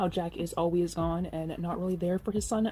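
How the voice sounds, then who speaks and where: A woman's medium-pitched voice with fairly even intonation at a fairly quick pace, music playing in the background. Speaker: movie reviewer. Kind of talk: casual movie review monologue. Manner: occasional stumbles and self-corrections.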